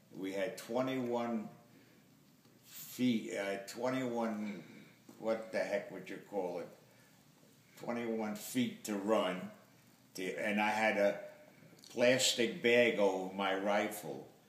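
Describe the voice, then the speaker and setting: Long, frequent pauses break up very slow speech, with noticeable background noise behind it. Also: man, medium pitch for a man, ordinary pitch variation. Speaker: war veteran. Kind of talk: interview answer.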